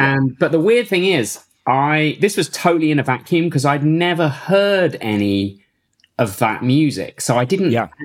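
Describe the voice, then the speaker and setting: A man's fairly high voice at a moderate pace, with very wide pitch swings and very even loudness. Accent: English Midlands. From Northampton area, England. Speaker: techno producer and DJ. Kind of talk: casual interview.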